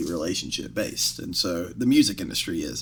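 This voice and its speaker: Very fast speech with an American accent. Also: man. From US South. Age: 20s. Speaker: music industry executive. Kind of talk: casual chat.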